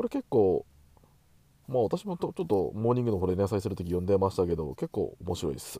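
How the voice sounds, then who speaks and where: The recording is very clean with a silent background and a dry, close sound with no echo, as a man speaks at a very fast pace. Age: middle-aged. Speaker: podcast host. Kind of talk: casual chat. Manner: hesitant, many fillers.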